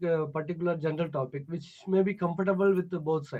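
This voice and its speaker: Very fast speech from a man, his intonation fairly even. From Tamil Nadu, South India. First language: Tamil. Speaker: English learner. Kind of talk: online tutoring conversation. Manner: halting, many fillers.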